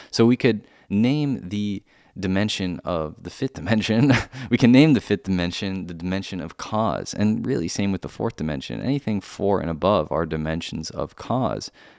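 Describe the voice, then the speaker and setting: The recording is very clean, with a silent background. A man with a fairly low pitch and an ordinary speaking voice talks at a moderate pace. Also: lively intonation. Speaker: metaphysics teacher. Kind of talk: lecture.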